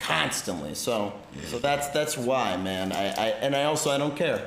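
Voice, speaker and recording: A man with an American accent, fairly high-pitched, with lively intonation, very even loudness and a moderate pace, plus audible room echo and noticeable background noise. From Washington, D.C. area. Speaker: streamer and stand-up comedian. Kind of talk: casual chat. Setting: livestream.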